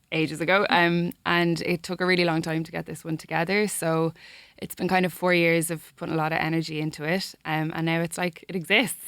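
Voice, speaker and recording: In a Dublin accent, a woman talks at a fairly quick pace with fairly low pitch. The recording is very clean, with a silent background. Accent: Dublin accent, getting stronger. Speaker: singer-songwriter. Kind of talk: interview chat. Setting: radio studio.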